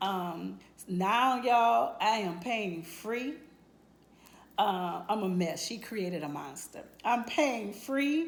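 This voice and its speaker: Lively intonation marks a woman speaking at a very slow pace. Room echo can be heard. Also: medium pitch for a woman. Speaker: nurse giving a client testimonial. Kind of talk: testimony. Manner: halting, many fillers.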